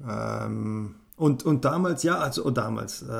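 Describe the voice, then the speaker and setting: This man's voice has a medium pitch and vocal fry. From South Tyrol, Italy (German-speaking). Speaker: animator and app designer. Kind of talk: casual interview chat.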